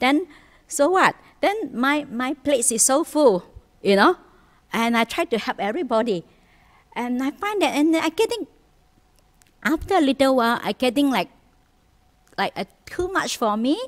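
High-pitched woman's voice at a moderate pace, with long, frequent pauses over a quiet background. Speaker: Buddhist nun teacher. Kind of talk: sermon. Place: hall.

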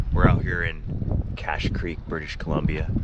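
A man is speaking. Loud background noise runs under his voice. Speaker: travel vlogger. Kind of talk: casual vlog chat. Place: street. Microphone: phone near.

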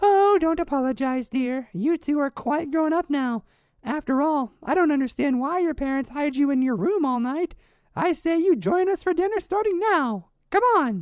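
A woman puts on a cartoonish character voice with a high pitch. She talks at a moderate pace. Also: lively intonation. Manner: falsely sweet, pushy.

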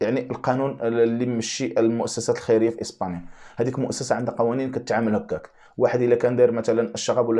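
Over a quiet background, a man speaks at a very fast pace with hardly any pauses. His tone is dark and mellow, and his intonation fairly even. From Morocco. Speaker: YouTube commentator. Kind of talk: video monologue commentary. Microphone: lapel.

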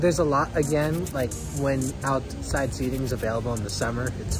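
The dry, echo-free voice is accompanied by clear music in the background. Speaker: travel vlogger. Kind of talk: casual vlog chat. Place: street. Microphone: phone near.

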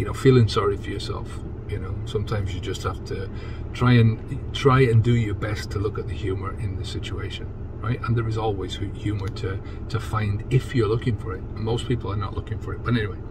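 Loud background noise surrounds a man who speaks at a fairly quick pace. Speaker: sobriety coach. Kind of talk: casual vlog chat. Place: car. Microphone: phone near.

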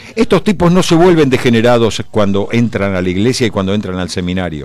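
This man's pitch swings very widely around a medium level. He talks fairly quickly. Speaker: radio columnist. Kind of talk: opinion column. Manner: animated.

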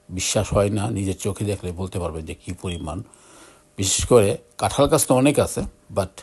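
A man's fairly low, somewhat breathy voice with ordinary pitch variation. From Bangladesh, Brahmanbaria. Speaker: video blogger. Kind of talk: casual vlog narration. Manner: halting.

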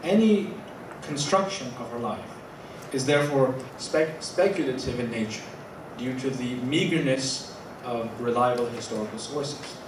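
At a moderate pace, a man speaks with ordinary pitch variation and long, frequent pauses. Audible room echo and noticeable background noise fill the recording. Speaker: academic lecturer. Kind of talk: lecture. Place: hall. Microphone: podium.

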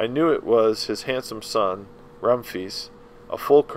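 A passage is read aloud in a natural voice.

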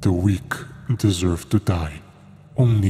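This is an unforced reading voice. The pitch variation is ordinary.

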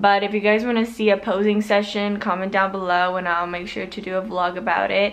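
Here is a woman's voice. She speaks at a fairly quick pace. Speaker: fitness vlogger. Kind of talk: casual vlog chat. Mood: relaxed, cheerful. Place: home room. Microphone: phone near.

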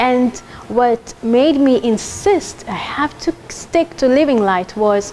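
A woman's high-pitched voice with lively intonation over light background noise. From Kenya. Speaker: culinary school graduate. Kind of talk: testimonial. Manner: animated. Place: hall. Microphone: lapel.

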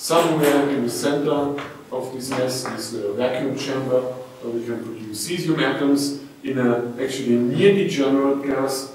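Strong room echo surrounds a man's fairly even intonation. Light background noise is present. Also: moderate pace. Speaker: physics lecturer. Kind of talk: lecture. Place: hall.

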